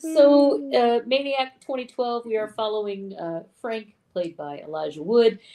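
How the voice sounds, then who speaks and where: Talking at a fairly slow pace with hardly any pauses, a woman uses a fairly high pitch with very wide pitch swings and big swings in loudness. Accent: American. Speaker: film podcast co-host. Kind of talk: film synopsis in casual chat.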